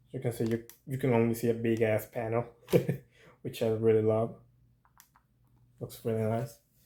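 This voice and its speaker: A man with a medium-pitched voice and a dark, mellow tone speaks at a moderate pace in a monotone, flat intonation, leaving long, frequent pauses. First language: not English. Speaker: toy reviewer, channel owner. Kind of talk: toy review vlog. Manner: casual, hesitant with fillers.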